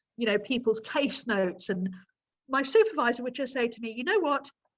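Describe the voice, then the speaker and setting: A fairly high-pitched female voice with a bright, sharp tone and ordinary pitch variation. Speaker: nutritional therapist. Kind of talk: interview. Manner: fast.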